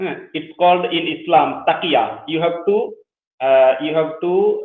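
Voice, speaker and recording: Very slowly and in a Bengali accent, a man speaks with a high voice. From Bangladesh. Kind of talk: interview. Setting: live show. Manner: halting.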